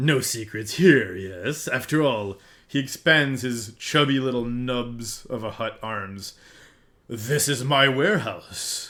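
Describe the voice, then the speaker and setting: A man's booming, raspy put-on character voice, medium in pitch, at a fairly slow pace on a very clean recording with a silent background. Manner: booming, jovial, laughing.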